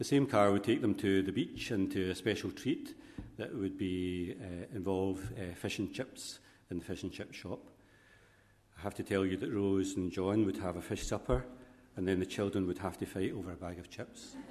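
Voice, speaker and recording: At a moderate pace and fairly low pitch, a man speaks in a plain, everyday voice with fairly even intonation. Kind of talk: funeral homily with gentle family biography. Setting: church. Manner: warm, gently humorous, speaks directly to the widow.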